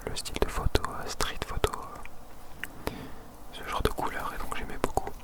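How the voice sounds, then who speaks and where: A man whispering at a fairly slow pace in a calm, relaxed tone, with noticeable background noise. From Marseille, France. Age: 20s. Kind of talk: ASMR whisper video. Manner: whispered, close to microphone.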